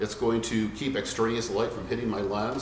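Over light background noise and audible room echo, a man speaks at a moderate pace. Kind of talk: tutorial. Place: shop.

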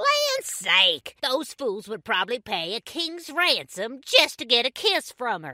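Her pace is fairly slow. This woman's voice moves through very wide pitch swings. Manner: cranky, scheming, loud.

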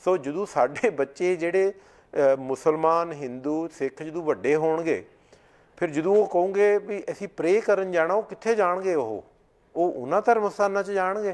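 Very slow delivery with ordinary pitch variation. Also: man, high pitch for a man. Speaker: Sikh community advocate; guest. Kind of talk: interview. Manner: loud at times. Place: studio. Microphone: lapel.

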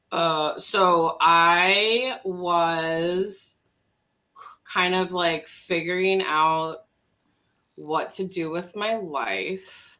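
A woman with an Upper Midwest accent speaks at a very slow pace and fairly low pitch. Her tone is bright and sharp, her intonation fairly even. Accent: Upper Midwest American. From US Midwest, Wisconsin (Milwaukee area); Wisconsin. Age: 40s. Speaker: immigration lawyer and nonprofit co-founder; immigration lawyer. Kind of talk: casual interview. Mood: humorous, candid. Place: home room. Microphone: video call.

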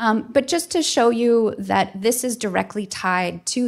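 With an American accent, a woman speaks using ordinary pitch variation. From Minnesota. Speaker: art museum curator. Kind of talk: public talk. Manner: halting. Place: hall. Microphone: podium.

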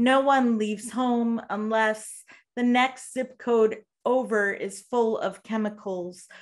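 A woman's very slow, fairly even delivery against a quiet background. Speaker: poet. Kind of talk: poetry reading. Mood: grave, measured. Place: home room. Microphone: video call.

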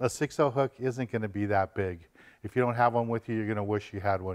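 A man talks fairly quickly with fairly even intonation, and the background is quiet. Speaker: fishing TV host. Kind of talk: tutorial. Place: shop.

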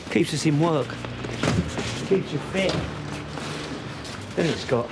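A man at a very slow pace with ordinary pitch variation and music in the background. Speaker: council waste worker. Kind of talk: interview answer. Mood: matter-of-fact, wry. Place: street.

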